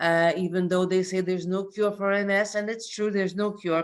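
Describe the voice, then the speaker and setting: A woman at a medium pitch speaks at a moderate pace with ordinary pitch variation, an unremarkable speaking voice. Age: 50s. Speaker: person sharing a health testimony. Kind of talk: testimony. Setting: conference call.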